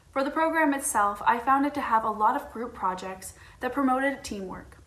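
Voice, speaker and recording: A woman with an American accent at a fairly quick pace, with noticeable background noise and audible room echo. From United States. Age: 20s. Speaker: university student. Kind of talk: recorded student testimonial.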